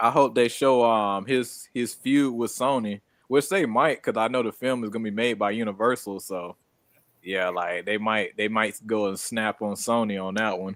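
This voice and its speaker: In an American accent, a man with a normal speaking voice speaks at a moderate pace with ordinary pitch variation, recorded very cleanly over a silent background. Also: medium pitch for a man. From Florida. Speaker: streamer. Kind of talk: casual chat.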